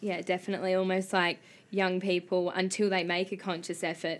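A woman speaks in a flat monotone at a fairly low pitch, on a very clean recording with a silent background. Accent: Australian. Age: 19. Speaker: podcast host and comedian. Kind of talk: interview; casual chat.

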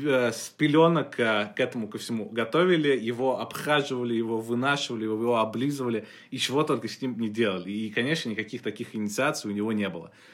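Very fast speech with ordinary pitch variation. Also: man, medium pitch for a man. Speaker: podcast co-host and writer. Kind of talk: casual chat.

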